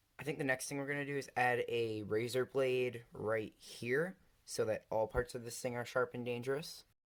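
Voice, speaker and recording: A plain, everyday voice moves at a moderate pace with fairly even intonation and hardly any pauses. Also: man, medium pitch for a man. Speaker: DIY craft video maker. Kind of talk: casual talk to camera.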